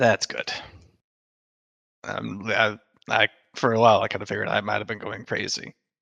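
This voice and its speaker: A man speaks in a put-on character voice, raspy and fairly low-pitched, at a moderate pace with long, frequent pauses, in a dry, close sound with no echo. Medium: actual play. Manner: casual, warm.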